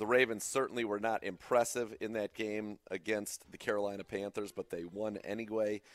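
This man has an American accent and a fairly low pitch, speaking at a moderate pace in a flat monotone. The sound is dry and close with no echo. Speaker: sports radio host. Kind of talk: casual sports talk. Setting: studio.

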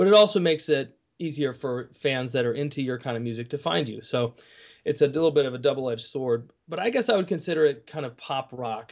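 A man talks at a very fast pace in an American accent. His pitch sits fairly high for a man. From Kalamazoo, Michigan. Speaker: musician and former lawyer. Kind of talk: casual interview.

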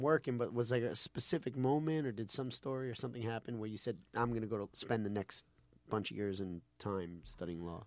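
On a very clean recording with a silent background, a man with an ordinary speaking voice talks at a fairly quick pace, with medium pitch and ordinary pitch variation. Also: dry, close sound with no echo. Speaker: podcast host and comedian.

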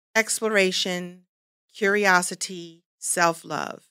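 An American woman speaks very slowly at a medium pitch, her tone bright and sharp. The recording is very clean, with a silent background. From Brooklyn, New York. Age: 50s. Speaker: actress and comedian. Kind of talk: interview. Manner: animated.

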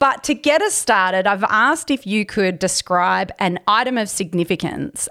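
A woman's fairly high voice in an Australian accent, lively in intonation, at a moderate pace, in a very clean recording with a silent background. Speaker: podcast host. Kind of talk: interview.

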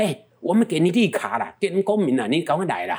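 A man talks at a fairly quick pace. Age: 70s. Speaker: travel business owner. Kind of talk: interview. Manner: animated.

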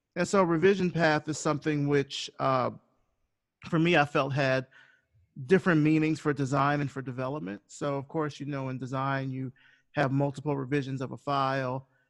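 Over a quiet background, a man with an American accent speaks in a normal speaking voice at a fairly high pitch, a moderate pace, and fairly even intonation. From US South, rural Alabama (Selma). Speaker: designer and podcast host. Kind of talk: interview.

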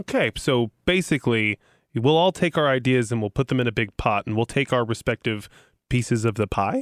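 A man talks at a fairly quick pace in an unremarkable speaking voice. His pitch is medium, with ordinary pitch variation. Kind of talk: casual storytelling chat. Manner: relaxed, conversational.

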